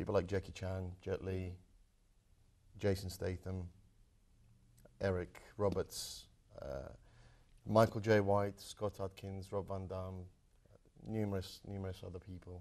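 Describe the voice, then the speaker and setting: Speaking with a British accent, a man uses a fairly low pitch and a monotone, flat intonation at a fairly slow pace, with long, frequent pauses and big swings in loudness over a quiet background. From Croatia, then London from age 12. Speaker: martial arts film actor. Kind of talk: interview.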